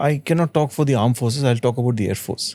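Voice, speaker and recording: Dark, mellow tone from a man. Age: 60s. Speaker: retired air force officer. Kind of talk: interview.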